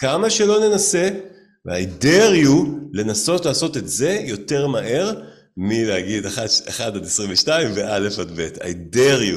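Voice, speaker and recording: Amid audible room echo, a man at a medium pitch speaks at a fairly slow pace, with very wide pitch swings. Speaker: musician and entrepreneur. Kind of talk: casual interview.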